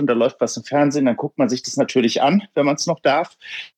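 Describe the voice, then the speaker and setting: The sound is dry and close, with no echo. A man with a fairly high pitch and ordinary pitch variation speaks at a fairly quick pace. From Hofheim am Taunus, Hesse, Germany. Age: 30s. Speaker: local politician and bank clerk. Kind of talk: interview. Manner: hesitant, many filler sounds.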